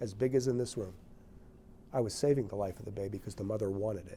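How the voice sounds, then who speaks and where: This man's voice has a dark, mellow tone and lively intonation. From northern New Jersey. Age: 60s. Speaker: physician and author. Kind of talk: interview testimony.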